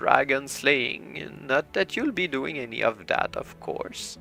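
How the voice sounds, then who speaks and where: A man performs a put-on character voice over faint background music. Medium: read story. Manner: rambling, chatty.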